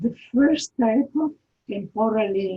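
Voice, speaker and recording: A woman speaks at a very slow pace with medium pitch. Her pitch varies in an ordinary way. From Italy. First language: Italian. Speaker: architecture lecturer. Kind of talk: lecture. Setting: video call. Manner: halting.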